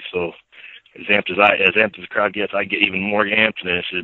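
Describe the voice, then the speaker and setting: Delivered very fast, the speech keeps a fairly even intonation. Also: man. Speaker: ring announcer, voice of a fights TV network. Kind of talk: podcast interview answer.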